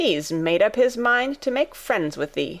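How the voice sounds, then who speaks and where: A woman puts on a raspy character voice, fairly high-pitched, with very wide pitch swings. She delivers it at a fairly slow pace. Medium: read story. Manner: blunt, gruff, plain-spoken.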